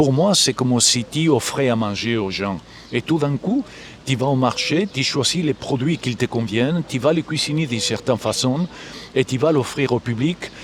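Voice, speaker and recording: A man's fairly high, fairly slow voice with a Galician accent, lively intonation and noticeable background noise. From Galicia, Spain. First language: Galician (speaking French). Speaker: musician and composer. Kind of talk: interview. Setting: live at a festival.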